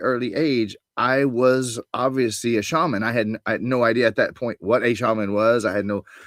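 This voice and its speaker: A man with a plain, everyday voice speaks at medium pitch and a moderate pace. The recording is very clean with a silent background, dry and close with no echo. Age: 60s. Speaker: spiritual coach. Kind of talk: interview.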